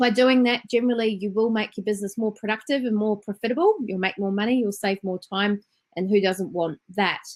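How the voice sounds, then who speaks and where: With a New Zealand accent, a woman speaks at a fairly quick pace. Her pitch is fairly high and her intonation fairly even. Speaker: business trainer and entrepreneur. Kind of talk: webinar presentation. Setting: online webinar.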